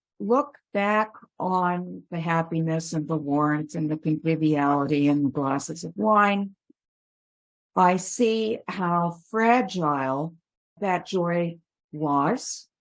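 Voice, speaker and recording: Her pace is very slow, broken by long, frequent pauses. The woman's fairly low voice carries lively intonation. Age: 70s. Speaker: author, retired magazine editor. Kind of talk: interview. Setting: call.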